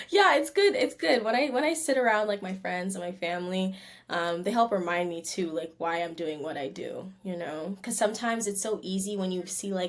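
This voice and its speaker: A woman with a Canadian accent and a plain, everyday voice, medium in pitch, lively in intonation, fairly quick, with hardly any pauses. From Canada. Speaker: R&B singer. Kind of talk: interview. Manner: casual, relaxed.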